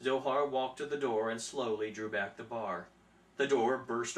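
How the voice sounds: With ordinary pitch variation, the reading voice sounds natural.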